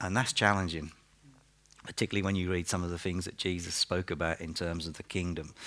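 A man talks at a very fast pace with a very deep, low pitch and an East Anglian accent. His intonation is monotone and flat. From Norfolk, England. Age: 50s. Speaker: pastor. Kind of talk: sermon. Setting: church.

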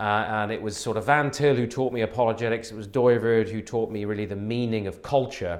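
A man with a slight West Country accent, fairly even intonation and a fairly quick pace. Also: medium pitch for a man. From southwest England, Wiltshire. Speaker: pastor and theologian. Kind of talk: interview conversation.

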